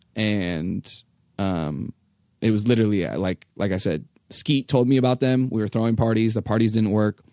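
A man with an American accent talks at a fairly quick pace in a fairly low, dark, mellow voice. His pitch varies in an ordinary way. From California. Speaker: tour manager. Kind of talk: casual interview chat.

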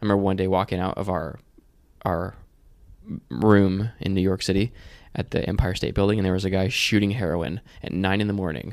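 A man speaks in a very deep, low voice at a fairly quick pace. Long, frequent pauses break up his speech. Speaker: podcast host. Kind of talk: casual chat.

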